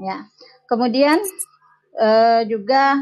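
Against a quiet background, a woman uses a normal speaking voice at a fairly high pitch with fairly even intonation. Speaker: family planning field educator. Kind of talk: meeting feedback. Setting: video call. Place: home room. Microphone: video call.

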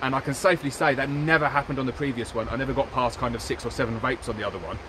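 Very fast speech from a man, ordinary pitch variation, noticeable background noise, and a dry sound with no echo. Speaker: beekeeper reviewing equipment. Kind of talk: tutorial. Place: forest.

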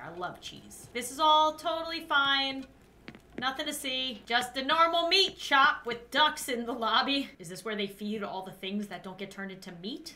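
Speaking at a moderate pace, a woman projects a raised voice with very wide pitch swings. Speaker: game streamer. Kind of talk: gameplay commentary. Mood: mock-nervous, amused.

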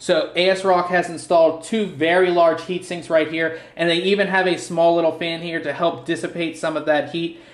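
Moderate pace and hardly any pauses, in an American accent, with noticeable background noise. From US, Pittsburgh. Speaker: tech reviewer. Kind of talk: product unboxing overview. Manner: casual, filler-heavy.

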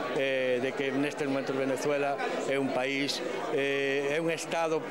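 Loud background noise fills the recording. A man speaks through it at a moderate pace. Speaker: jury member. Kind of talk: interview. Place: hall. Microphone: handheld.

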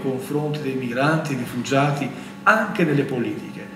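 Amid light background noise and audible room echo, a man with an Albanian accent speaks with ordinary pitch variation. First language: Albanian (speaking Italian). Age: 40s. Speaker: priest panelist. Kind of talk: public talk. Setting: auditorium with audience. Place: hall. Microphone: podium.

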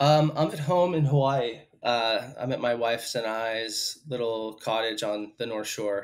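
The background is quiet. A man speaks at a fairly slow pace with ordinary pitch variation. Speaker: podcast guest. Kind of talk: interview answer. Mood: relaxed, happy to be home. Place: home room. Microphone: headset.

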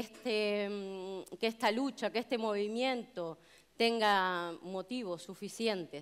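The woman talks at a very slow pace. Her pitch shifts in an ordinary way. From Canary Islands, Tenerife; Canary Islands. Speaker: union delegate and hotel chambermaid; speaker. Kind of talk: public speech. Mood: earnest, committed. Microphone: headset.

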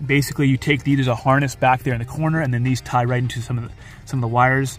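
A man's monotone, flat voice in a dry sound with no echo, with faint music in the background. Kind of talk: casual tutorial. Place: car.

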